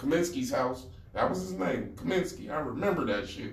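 Male voice with an American accent, plus audible room echo and noticeable background noise. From Pittsburgh, US. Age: 60s. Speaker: community activist and urban farmer. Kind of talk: interview. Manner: animated.

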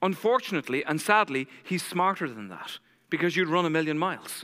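Raised and projected, a man's high voice carries an intense, bright, sharp tone in a very clean recording with a silent background. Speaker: preacher giving a sermon. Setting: church service. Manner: fast talker, intense.

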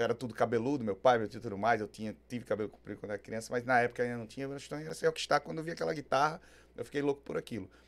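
Ordinary pitch variation colors speech delivered at a very fast pace. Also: man, medium pitch for a man. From Aracaju, Sergipe, Brazil. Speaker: rock singer-songwriter. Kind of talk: casual interview chat.

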